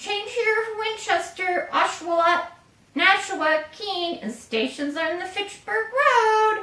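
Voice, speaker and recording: A woman performs a put-on character voice at an extremely high pitch with lively intonation. She goes at a fairly slow pace, with a slight echo. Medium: read story.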